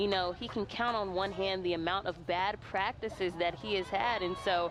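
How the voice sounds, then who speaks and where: A woman talks at a moderate speed in a medium pitch, with noticeable noise in the background. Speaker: sports reporter. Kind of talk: sports news report.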